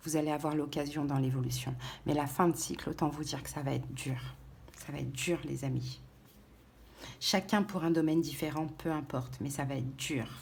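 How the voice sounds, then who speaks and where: Soft-spoken and very deep, a woman's voice with vocal fry and ordinary pitch variation moves at a moderate pace with long, frequent pauses, and the room echo is audible. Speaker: tarot reader. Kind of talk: tarot reading. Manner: halting.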